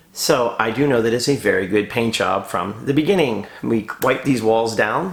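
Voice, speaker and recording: A man at medium pitch with ordinary pitch variation, very even loudness and hardly any pauses, over noticeable background noise. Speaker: decorative painter and muralist. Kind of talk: vlog tutorial. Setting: empty bedroom on a job site. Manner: fast; talkative. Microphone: echo in empty room.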